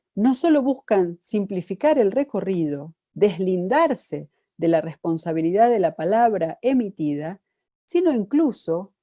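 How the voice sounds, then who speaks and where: A woman speaks in an Argentine accent with a dark, mellow tone. Her pitch swings very widely over a quiet background. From Argentina. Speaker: psychoanalyst and lecturer. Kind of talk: lecture.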